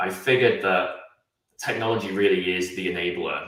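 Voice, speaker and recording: Against audible room echo, a man speaks at a fairly quick pace. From England. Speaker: automation consultant. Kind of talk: interview.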